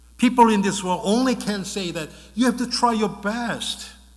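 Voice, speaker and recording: Within a noticeably echoing room, a man talks with typical pitch movement. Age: 60s. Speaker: pastor. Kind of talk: sermon. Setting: church. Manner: bilingual, switching Korean and English.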